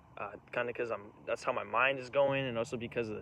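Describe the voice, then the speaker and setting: A man talks at a fairly quick pace. His tone is bright and sharp. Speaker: vlogger. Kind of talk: casual monologue. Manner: fast; rambling, halting.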